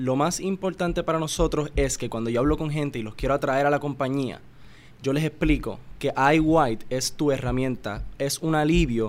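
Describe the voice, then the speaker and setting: Here a man talks with a Puerto Rican accent. His voice is fairly high in pitch. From Puerto Rico. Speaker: family business executive. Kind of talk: interview.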